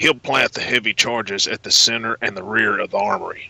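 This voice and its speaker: Using a put-on character voice, a man of medium pitch talks at a fairly quick pace in a dry, close sound with no echo. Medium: audio drama. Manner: terse, businesslike.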